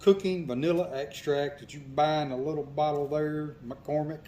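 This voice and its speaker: A dark, mellow tone carries this voice with a Mississippi accent. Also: man. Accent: Southern US (Mississippi). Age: 60s. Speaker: hunter. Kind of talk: interview. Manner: casual, with many fillers.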